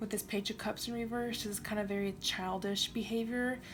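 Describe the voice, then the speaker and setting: Over music in the background, a voice moves at a fairly quick pace in a monotone, flat intonation. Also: woman. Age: 20s. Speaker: tarot reader. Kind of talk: tarot reading to camera. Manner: casual, conversational.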